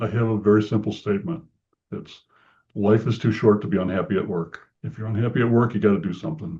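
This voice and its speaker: Speaking very fast, a man uses a fairly low pitch with ordinary variation. His voice is somewhat breathy. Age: 70s. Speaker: franchise consultant and business chamber president. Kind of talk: interview. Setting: podcast. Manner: conversational with fillers and repeats.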